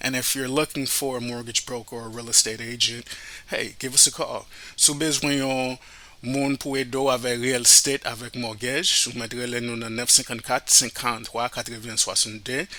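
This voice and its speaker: With a Haitian accent, a man speaks at a medium pitch and a moderate pace. His intonation is monotone and flat. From Miami, Florida, Haitian family. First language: Haitian Creole. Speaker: radio host and financial advisor. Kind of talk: podcast introduction.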